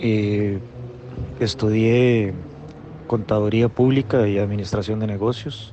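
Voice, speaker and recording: A man's fairly low voice at a very slow pace, with fairly even intonation, long, frequent pauses and noticeable background noise. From Costa Rica, Guápiles. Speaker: accountant and consultant. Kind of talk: recorded interview answer.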